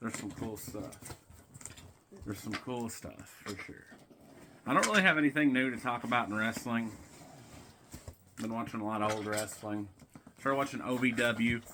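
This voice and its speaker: A man with a Tennessee accent speaks at a moderate pace and a medium pitch, with ordinary pitch variation. He pauses long and often, his loudness swings widely, and background noise is noticeable. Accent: Southern US (Tennessee). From US South, Tennessee. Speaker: wrestling vlogger. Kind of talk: casual unboxing vlog.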